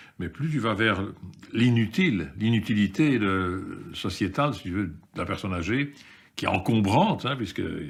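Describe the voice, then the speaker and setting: A man's fairly low-pitched voice with lively intonation. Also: fairly slow pace. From Belgium, of Yugoslav descent. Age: 60s. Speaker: activist in a seniors' protest group. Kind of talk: interview testimony. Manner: halting.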